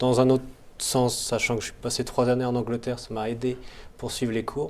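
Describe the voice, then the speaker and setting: With monotone, flat intonation, a man talks at a fairly quick pace. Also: medium pitch for a man. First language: not English (speaking French). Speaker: MBA student. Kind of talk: interview.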